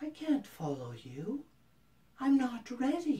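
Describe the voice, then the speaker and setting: The voice is a put-on character voice pitched high. It moves at a fairly slow pace. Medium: read story. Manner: sweetly wheedling.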